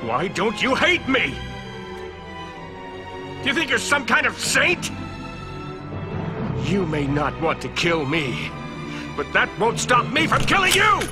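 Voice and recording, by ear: A man speaks in a put-on character voice, pitched high with very wide swings up and down. He talks slowly with long, frequent pauses while clear music plays behind him.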